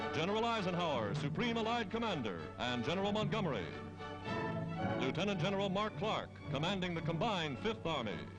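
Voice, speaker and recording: Over music in the background, a man uses a dramatic tone and a high pitch with very wide pitch swings, keeping his loudness very even. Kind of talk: newsreel narration. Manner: dramatic, emphatic.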